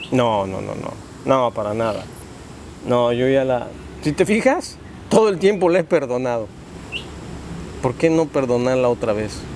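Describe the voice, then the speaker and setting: With lively intonation and a medium pitch, a man talks at a fairly quick pace, broken by long, frequent pauses. Noticeable background noise runs underneath. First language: Spanish. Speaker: father in family dispute. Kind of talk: interview. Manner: halting.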